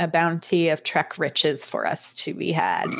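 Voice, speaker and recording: Putting on a character voice, a woman speaks at a fairly low pitch. Her pace is moderate. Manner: swashbuckling, playful.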